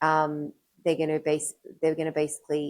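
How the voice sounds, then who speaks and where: At a moderate pace, a woman with an Australian accent speaks in a very deep, low pitch. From Sydney, Australia. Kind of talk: interview answer.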